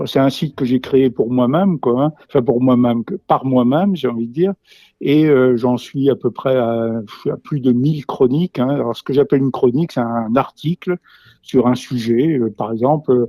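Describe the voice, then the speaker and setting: The voice is dark and mellow with ordinary pitch variation, recorded with a dry, close sound and no echo. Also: man, medium pitch for a man, moderate pace. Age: 70s. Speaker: retired teacher and naturalist. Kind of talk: interview. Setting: remote, not present with interviewer. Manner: halting, many fillers and repetitions.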